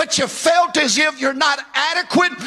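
The voice is raised and projected, with an animated tone. Noticeable background noise runs underneath. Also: man. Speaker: preacher. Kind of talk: sermon. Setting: church with congregation. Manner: animated, fervent, call-and-response preaching; emphatic, rising with passion.

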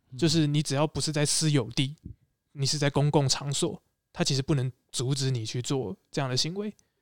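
A man with a Taiwanese accent at a fairly quick pace, in a very clean, dry, close recording with no echo and a silent background. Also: fairly high pitch for a man, ordinary pitch variation. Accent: Taiwanese Mandarin. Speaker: former graduate student and street performer. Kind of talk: casual chat.

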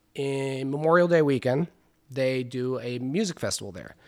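A man with a Californian accent talks at a moderate pace and medium pitch with ordinary pitch variation, in a very clean recording with a silent background. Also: big swings in loudness. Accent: Californian American. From Los Angeles, San Fernando Valley (Van Nuys). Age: 30s. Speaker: chef and cannabis farmer. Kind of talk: casual interview chat. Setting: at his home in Topanga Canyon.

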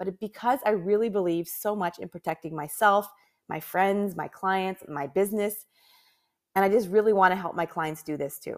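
A woman with a Canadian accent and an unremarkable speaking voice talks at a moderate pace and medium pitch, with ordinary pitch variation. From Canada. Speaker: podcast host, professional organizer and business owner. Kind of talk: solo podcast monologue. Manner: casual, frequent laughs and fillers.

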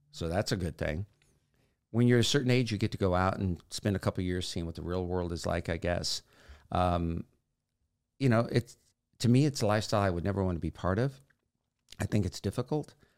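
A man's fairly low voice at a fairly quick pace, with ordinary pitch variation and long, frequent pauses, on a very clean recording with a silent background. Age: 60s. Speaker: podcast host. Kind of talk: casual monologue.

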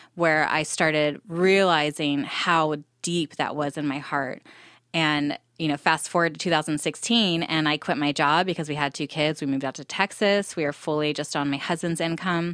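With an American accent, a woman speaks at a moderate pace in a very deep, low voice with fairly even intonation, on a very clean recording with a silent background. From Southern California. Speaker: entrepreneur. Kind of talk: casual interview.

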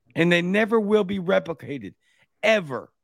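A man speaks with a high pitch and a Louisiana accent. The sound is dry and close with no echo, in a very clean recording with a silent background. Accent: Louisiana Southern. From Baton Rouge, Louisiana. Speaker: podcast host. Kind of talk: casual chat.

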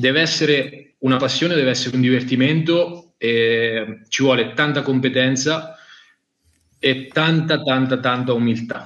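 A man with a normal speaking voice, medium in pitch, fairly slow and fairly even in intonation. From Italy, Marche (Macerata province). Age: 20s. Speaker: fishing brand product manager. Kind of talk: casual interview on live stream.

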